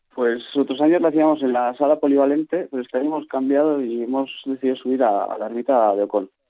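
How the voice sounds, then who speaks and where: Speaking at a very fast pace with hardly any pauses, a man keeps a medium pitch. His intonation stays fairly even. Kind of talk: radio interview.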